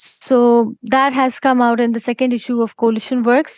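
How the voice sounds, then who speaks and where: In an Indian accent, a woman talks at a moderate pace in a high voice with flat, monotone intonation, recorded dry and close with no echo. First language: Hindi. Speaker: poet. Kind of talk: interview. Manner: halting, with frequent fillers.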